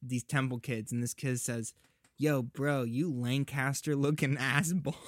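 An ordinary speaking voice with an American accent, moderate pace and fairly even intonation, in a very clean recording with a silent background and a dry, close sound with no echo. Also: man. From US South, Georgia. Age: 20s. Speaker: podcast guest. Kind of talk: casual chat.

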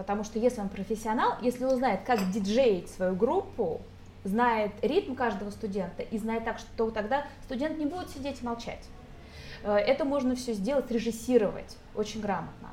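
Noticeable background noise behind a woman's fairly high voice, its pitch varying in an ordinary way. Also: moderate pace. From Moscow, Russia. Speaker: English teacher. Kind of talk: casual chat. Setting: restaurant.

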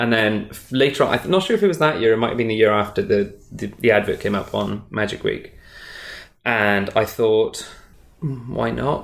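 A man with a Welsh accent at a moderate pace. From Wales, small town. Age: 30s. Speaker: magician. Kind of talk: casual interview. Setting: in person.

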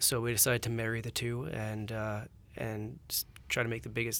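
A man with a Canadian accent speaks at a medium pitch in an unremarkable speaking voice. The recording is very clean, with a silent background. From Alberta, Canada. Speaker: energy startup co-owner. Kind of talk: interview.

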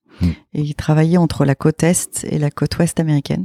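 In a dry, close recording with no echo, a woman speaks at a very deep, low pitch with a dark, mellow tone. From northern France, partly raised abroad. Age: 40s. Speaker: business owner, events agency head. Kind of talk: interview.

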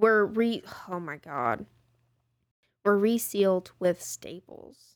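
A woman's medium-pitched voice in a Texan accent, very slow, with lively intonation. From Texas, Tyler. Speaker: true crime podcast co-host. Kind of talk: casual storytelling chat. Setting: studio, in person.

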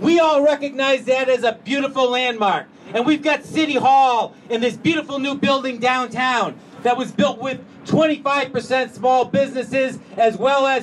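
With an extremely high pitch and an animated tone, a man talks at a moderate pace with ordinary pitch variation, and noticeable background noise can be heard. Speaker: city commissioner. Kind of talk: speech at public event. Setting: stage with audience.

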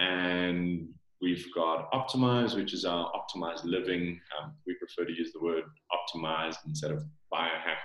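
In a South African accent, a man with a very deep, low voice speaks at a moderate pace with ordinary pitch variation. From South Africa, Johannesburg. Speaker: supplement company founder. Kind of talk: interview.

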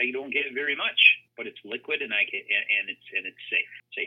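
A man talks in an Upper Midwest accent. He keeps a fairly quick pace. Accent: Upper Midwest American. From Minnesota (Brainerd). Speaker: financial advisor. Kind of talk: interview.

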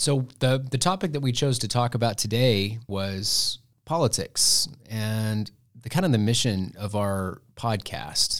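A man with an American accent talks in an ordinary speaking voice at medium pitch, fairly slow and with lively intonation, on a very clean recording with a silent background. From Texas Panhandle, Muleshoe. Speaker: government professor. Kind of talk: casual chat. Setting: studio.

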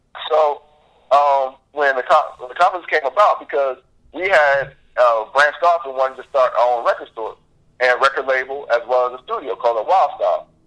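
A man with a fairly high pitch speaks with an American accent in an unremarkable speaking voice, showing ordinary pitch variation. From Florida (Jacksonville). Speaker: music industry consultant. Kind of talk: interview.

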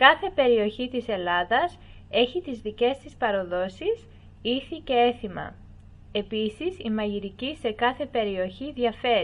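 A woman speaks with lively intonation. She has a plain, everyday voice. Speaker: voice-over narrator. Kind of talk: documentary-style educational narration, read aloud. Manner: even, measured, formal, clear pacing.

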